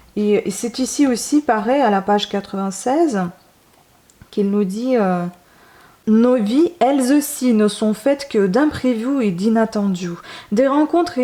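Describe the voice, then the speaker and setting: The woman's voice is fairly high, with a dark, mellow tone. She speaks at a very slow pace. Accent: non-native. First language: not French (speaking French). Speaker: book reviewer / YouTuber. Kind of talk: casual book review monologue. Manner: hesitant, many fillers.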